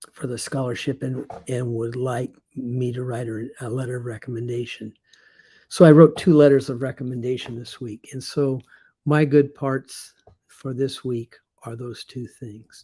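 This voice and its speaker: This man's voice is dark and mellow, somewhat breathy, with fairly even intonation and big shifts in volume. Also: medium pitch for a man, moderate pace. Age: 70s. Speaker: retired teacher turned online marketer. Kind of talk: casual video monologue. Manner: halting, many fillers.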